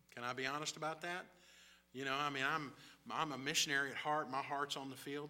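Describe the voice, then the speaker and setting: With an American accent, a man speaks very fast in a fairly high pitch and a bright, sharp tone, his intonation monotone and flat, with audible room echo around him. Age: 60s. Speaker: missionary. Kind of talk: sermon. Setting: church.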